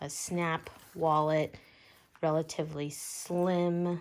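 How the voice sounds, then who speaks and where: A woman's very deep, low voice in a monotone, flat intonation. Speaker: bag reviewer vlogger. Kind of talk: product review. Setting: at home. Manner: quiet, talking low; casual, many fillers.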